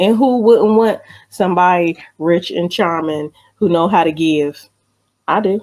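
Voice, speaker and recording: A plain, everyday voice from a woman, fairly low-pitched, with ordinary pitch variation and a fairly slow pace. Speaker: radio show host. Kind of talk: radio show banter, co-host chat.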